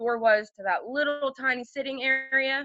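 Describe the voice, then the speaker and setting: Loud, animated delivery from a woman with a New Jersey accent, bright and sharp in tone, at a moderate pace. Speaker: podcast guest, former dormmate. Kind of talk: casual chat.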